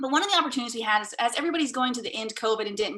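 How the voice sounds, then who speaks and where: Her tone bright and sharp, a woman speaks at a fairly high pitch with very wide pitch swings. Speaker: Rotary club member. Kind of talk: club meeting report. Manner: fast.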